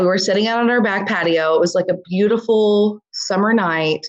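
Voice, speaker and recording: This woman has a normal speaking voice, medium in pitch, with ordinary pitch variation. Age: 30s. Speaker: small business owner. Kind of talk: casual chat.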